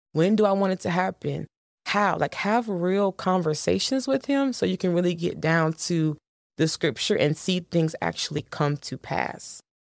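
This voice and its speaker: In an ordinary speaking voice, a woman with a fairly low pitch and lively intonation speaks at a moderate pace, the sound dry and close with no echo. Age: 20s. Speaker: podcast host. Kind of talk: devotional teaching monologue. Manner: casual, conversational.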